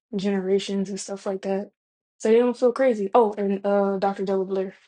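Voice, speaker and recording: Against a quiet background, a woman with a Southern US accent speaks at a moderate pace in a dark, mellow tone. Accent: Southern US, lazy pronunciation. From US South. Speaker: vlogger. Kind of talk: casual monologue. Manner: casual, slangy.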